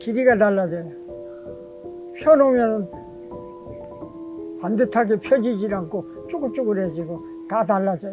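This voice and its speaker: With music playing behind, the speech moves along very slowly. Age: 80s+. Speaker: tailor. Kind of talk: interview answer.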